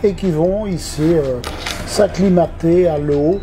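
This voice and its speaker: Through noticeable background noise, a man speaks at a fairly high pitch with fairly even intonation. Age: 70s. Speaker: swimming pool manager. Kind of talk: interview answers. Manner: hesitant, many fillers.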